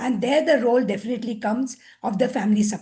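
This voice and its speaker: Her voice is high-pitched with a dark, mellow tone, and the woman keeps her intonation fairly even. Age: 70s. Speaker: senior pediatrician. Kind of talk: panel discussion.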